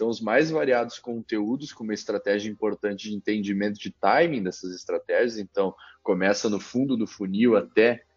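With a southern Brazilian accent, a man speaks at fairly low pitch and a moderate pace, with ordinary pitch variation and hardly any pauses. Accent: southern Brazilian (gaúcho). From Caxias do Sul, Rio Grande do Sul, Brazil. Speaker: company CEO and founder. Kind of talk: interview.

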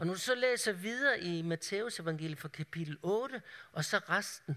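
A man with a high pitch and a bright, sharp tone. He speaks at a fairly slow pace with lively intonation. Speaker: preacher. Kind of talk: sermon. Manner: halting.

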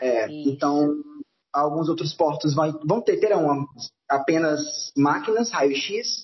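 A man's fairly high, somewhat breathy voice at a very slow pace, with very even loudness and ordinary pitch variation. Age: 20s. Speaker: cruise ship crew member. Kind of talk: casual chat.

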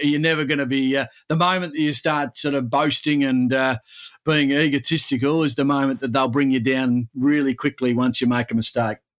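At a moderate pace, a man with an Australian accent speaks at a fairly high pitch with fairly even intonation. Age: 40s. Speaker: sports commentator. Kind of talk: casual chat.

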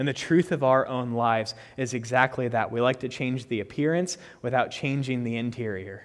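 An unremarkable speaking voice from a man, medium in pitch, moderate in pace, with ordinary pitch variation. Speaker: preacher. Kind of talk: sermon. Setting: church.

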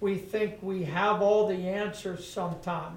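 At a fairly slow pace, a man speaks in a high, monotone, flat voice. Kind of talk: prayer and testimony. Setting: church.

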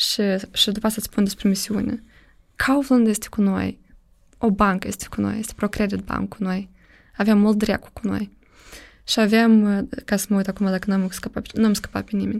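A woman's fairly high, somewhat breathy voice at a moderate pace, with fairly even intonation, long, frequent pauses and a very clean recording with a silent background. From Moldova. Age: 30s. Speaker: startup program director. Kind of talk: podcast interview.

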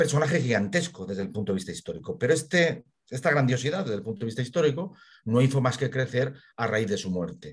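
Somewhat breathy, a man at medium pitch talks at a very fast pace with very wide pitch swings. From Spain, Burgos. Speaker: local history expert. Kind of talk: interview.

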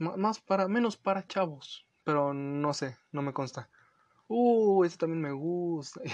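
A man with a Mexican accent, high in pitch, at a fairly slow pace and with lively intonation. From Los Angeles, US; lives in Mexico. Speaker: podcast host. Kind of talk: casual solo podcast talk.

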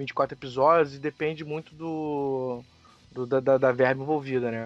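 A man's voice with fairly even intonation, in a dry, close sound with no echo and a quiet background. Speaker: podcast guest, film and series commentator. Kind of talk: casual chat.

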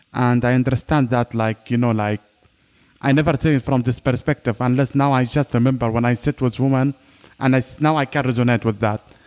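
A man's normal speaking voice at a fairly quick pace and medium pitch, fairly even in intonation, very even in loudness, dry and close with no echo. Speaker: podcast host. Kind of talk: interview.

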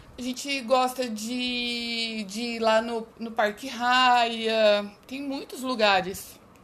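A woman's fairly high voice at a very slow pace, monotone and flat, with big swings in loudness, hardly any pauses, and noticeable background noise. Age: 40s. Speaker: mother interviewed by her child. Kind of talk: school interview.

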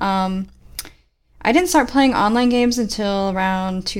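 A woman in a normal speaking voice talks at a moderate pace, at medium pitch and with fairly even intonation. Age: 20s. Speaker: gaming podcast co-host. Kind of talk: casual chat.

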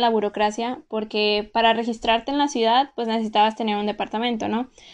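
There is a normal speaking voice from a woman, with fairly even intonation. Her pitch is fairly high, against a quiet background. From Mexico. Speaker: podcast host, former exchange student. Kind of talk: casual solo podcast monologue.

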